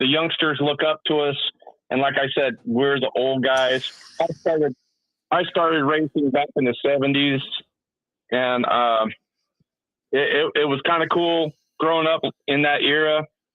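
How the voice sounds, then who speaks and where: Fairly high-pitched male voice at a moderate pace, very even loudness and fairly even intonation, with long, frequent pauses. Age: 60s. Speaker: caller, veteran BMX racer. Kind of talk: casual chat.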